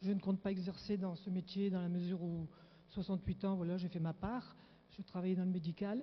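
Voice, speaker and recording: Somewhat breathy and monotone, a woman speaks at a fairly quick pace and a medium pitch, her loudness very even throughout. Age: 60s. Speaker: audience member asking question. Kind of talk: audience question. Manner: halting.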